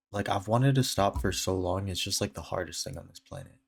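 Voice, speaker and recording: A man speaks with a very deep, low voice and ordinary pitch variation. There is a somewhat breathy quality to it. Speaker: video diary vlogger. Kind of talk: casual video diary monologue. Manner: rambling, hesitant with many fillers.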